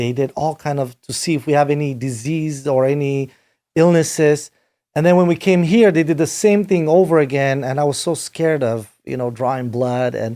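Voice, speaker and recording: A man with a Romanian accent, fairly high pitch and a dark, mellow tone, on a very clean recording with a silent background. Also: ordinary pitch variation, moderate pace. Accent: Romanian accent, noticeable. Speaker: rock band manager and producer. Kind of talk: podcast interview. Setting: home studio.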